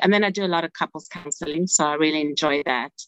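A woman with a South African accent speaks at a very deep, low pitch, the sound dry and close with no echo. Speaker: family therapist. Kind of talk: interview.

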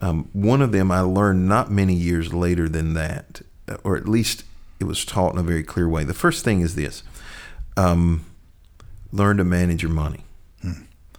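A man with an eastern North Carolina accent, very deep and low in pitch, at a moderate pace with fairly even intonation and long, frequent pauses. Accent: US Southern (eastern North Carolina). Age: 50s. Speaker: pastor. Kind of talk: interview conversation.

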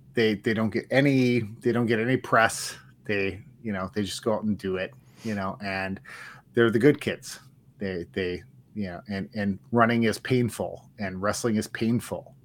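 In a very clean recording with a silent background, a plain, everyday voice speaks with an American accent and fairly even intonation. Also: man, fairly low pitch for a man, moderate pace. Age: 40s. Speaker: sports podcast co-host. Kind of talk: casual chat.

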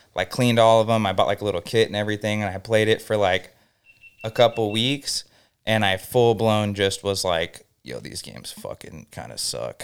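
A man with an American accent and an unremarkable speaking voice, fairly low in pitch with ordinary variation, at a moderate pace with big swings in loudness, in a very clean recording with a silent background. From Southern California, Inland Empire (Norco). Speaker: music studio owner. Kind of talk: casual chat.

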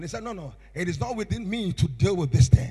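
Speaking at a fairly quick pace with a Ghanaian accent, a man makes very wide pitch swings. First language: Akan (Twi/Fante). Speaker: bishop. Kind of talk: sermon. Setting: church. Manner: animated.

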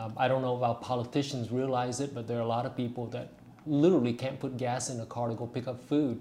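A man with a somewhat breathy, medium-pitched voice talks very fast in a monotone, flat delivery. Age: 50s. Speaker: political candidate. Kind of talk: casual interview chat. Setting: studio.

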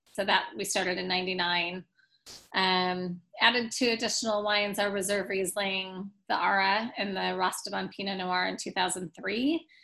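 A woman with an American accent speaks in an ordinary speaking voice at a medium pitch. Her pace is fairly slow, her intonation fairly even, and the background quiet. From US Pacific Northwest, Portland, Oregon. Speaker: winery managing director. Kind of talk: interview.

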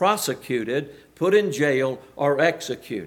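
A man with a Southern US accent, lively intonation and audible room echo. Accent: US South. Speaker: preacher. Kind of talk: sermon. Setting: church.

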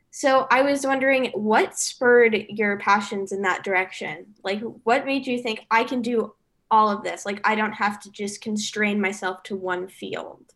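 A woman with an ordinary speaking voice, fairly high pitch, fairly even intonation and a fairly slow pace. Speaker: student podcast host. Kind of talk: casual interview.

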